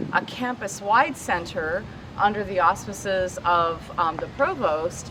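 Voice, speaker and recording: A woman's medium-pitched voice with noticeable background noise. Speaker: professor. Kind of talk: speech at a vigil. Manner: loud.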